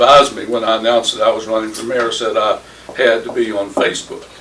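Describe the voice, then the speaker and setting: A man speaks over noticeable background noise. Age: 60s. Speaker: mayoral candidate. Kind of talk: political roundtable discussion.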